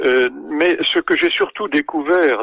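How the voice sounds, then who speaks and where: The pace is very slow. A man does the talking. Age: 80s+. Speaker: oncologist and author. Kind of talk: interview. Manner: hesitant, many fillers.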